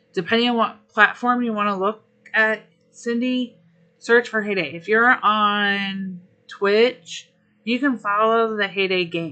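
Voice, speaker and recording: A woman's medium-pitched voice with fairly even intonation over background music. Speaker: gaming streamer. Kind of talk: live stream chat.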